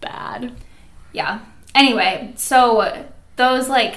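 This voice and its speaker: A woman with an American accent and vocal fry, in a space with audible room echo. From Minnesota, US Midwest. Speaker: podcast co-host. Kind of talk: casual chat; scripted outro.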